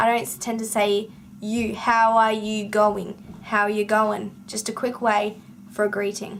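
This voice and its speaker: A woman speaks with an Australian accent. Her pitch is fairly high. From Western Australia. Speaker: book vlogger. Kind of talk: casual vlog monologue.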